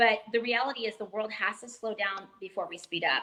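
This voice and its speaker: The tone is animated. Noticeable background noise can be heard. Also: woman. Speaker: fitness educator and executive. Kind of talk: interview on a live stream. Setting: live video stream. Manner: fast.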